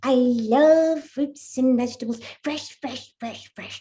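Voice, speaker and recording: A woman puts on a character voice. Her pitch is high and her pace fairly slow. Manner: cheeky, self-centred.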